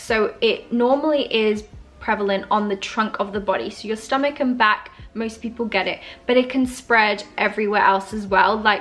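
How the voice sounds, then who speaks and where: With an Australian accent, a woman talks at a fairly high pitch and in a fairly even tone over noticeable background noise. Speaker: beauty YouTuber. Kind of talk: casual talk to camera. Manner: hesitant, some stuttering.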